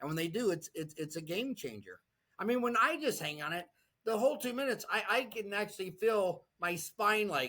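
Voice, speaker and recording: Raised and projected, a man's high, bright, sharp voice moves at a fairly quick pace with an animated tone and lively intonation. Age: 60s. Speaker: dentist and online community founder. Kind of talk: interview.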